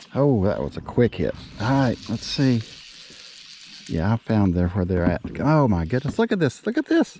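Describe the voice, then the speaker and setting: Lively in intonation, a man talks at a moderate pace with long, frequent pauses. Noticeable background noise is present. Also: medium pitch for a man. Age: 60s. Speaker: fishing vlogger. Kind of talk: casual outdoor vlog commentary. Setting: outdoors on a lake in a kayak. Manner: animated.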